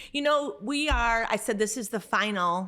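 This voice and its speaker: A plain, everyday voice speaks at a moderate pace with ordinary pitch variation. The recording is very clean, with a silent background. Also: woman. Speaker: podcast host. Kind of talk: casual chat.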